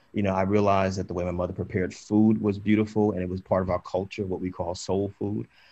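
Against a quiet background, a man races at a very fast pace with hardly any pauses, his very deep, low voice dark and mellow, passionate in tone, with fairly even intonation. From New Jersey. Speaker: author and activist; panelist. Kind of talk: panel discussion. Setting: video call. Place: home room. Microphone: video call.

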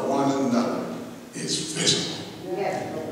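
Strong room echo and noticeable background noise surround a man's voice. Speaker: preacher. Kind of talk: sermon. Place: church.

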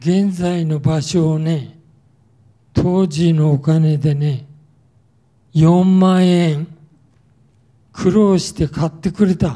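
A man's fairly high voice, dark and mellow in tone, at a very slow pace with long, frequent pauses and fairly even intonation, over a quiet background. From Tokyo (Yotsuya); Tokyo. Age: 80s+. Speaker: war survivor speaker; wartime experience lecturer. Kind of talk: testimony. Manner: casual, frequent filler particles ね. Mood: calm reminiscing. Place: hall. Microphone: handheld.

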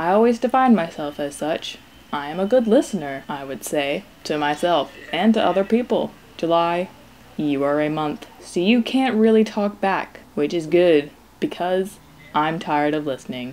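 A woman's fairly low-pitched voice, a normal speaking voice, with lively intonation at a moderate pace. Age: 20s. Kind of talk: personal video diary monologue, read aloud.

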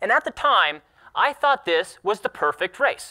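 A man projects a raised, bright, sharp voice at a moderate pace, his pitch swinging very widely. The background is quiet. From Alaska. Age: 20s. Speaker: sled dog racer; speaker. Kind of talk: talk to an audience. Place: hall.

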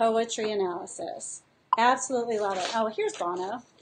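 Fairly high-pitched female speech with lively intonation and light background noise. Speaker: teacher and curriculum designer. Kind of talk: casual live-stream tutorial to teachers. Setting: live video stream. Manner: animated, enthusiastic. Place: home room. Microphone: webcam.

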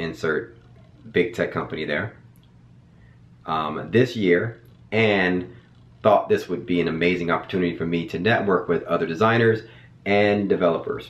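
At a moderate pace with long, frequent pauses, a man speaks at a very deep, low pitch with ordinary pitch variation. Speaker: educator. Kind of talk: casual vlog chat. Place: home room.

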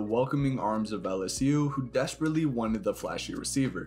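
The speaker is male, talking at a moderate tempo. Behind him, music can be heard. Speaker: documentary narrator. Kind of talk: documentary narration.

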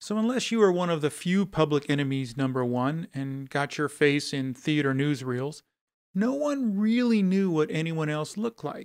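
A man talks at a moderate pace, his pitch fairly high and his intonation lively. The recording is very clean, with a silent background. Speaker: podcast narrator. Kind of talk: true-crime narration. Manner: measured, storytelling tone; dramatic, scene-setting.

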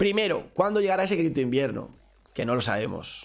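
Animated in tone, a man speaks at a very fast pace. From Spain. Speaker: crypto streamer. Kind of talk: live stream Q&A. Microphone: studio mic.

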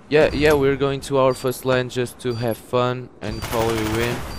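A man talks at a medium pitch with ordinary pitch variation. Noticeable background noise is present. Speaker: gamer. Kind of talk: gameplay commentary.

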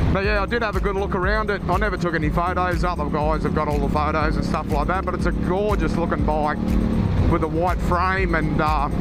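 A man is speaking with music in the background. The sound is dry, with no echo. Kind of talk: casual vlog chat. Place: motorbike.

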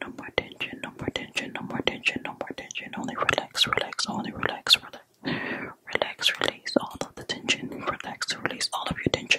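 A woman whispering at a fairly quick pace in a gentle tone, dry with no echo, against loud background noise. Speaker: ASMR creator. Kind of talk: soft relaxation guidance. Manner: gentle repetitive ASMR whisper. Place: home room. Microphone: studio mic.

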